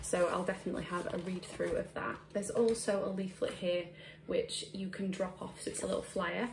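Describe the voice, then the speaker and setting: A woman speaks with a British accent. Noticeable background noise and audible room echo fill the recording. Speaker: beauty blogger and YouTuber. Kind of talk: product unboxing review. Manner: casual, with frequent fillers.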